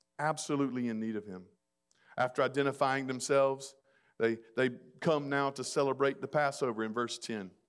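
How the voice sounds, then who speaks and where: On a very clean recording with a silent background, a man with a Southern US accent talks fairly quickly at medium pitch, his intonation fairly even. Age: 40s. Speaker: pastor. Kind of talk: sermon.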